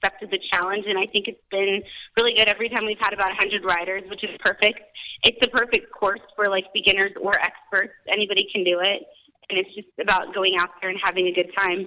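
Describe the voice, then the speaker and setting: Her intonation is monotone and flat, at a medium pitch for a woman. She speaks at a very fast pace. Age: young. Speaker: race organizer. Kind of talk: casual radio interview. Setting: phone call.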